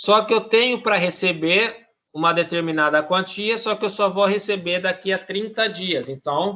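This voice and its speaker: A man speaks in a raised, projected voice with a bright, sharp tone and a high pitch. His pitch variation is ordinary and his pace moderate. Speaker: teacher. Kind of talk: lecture.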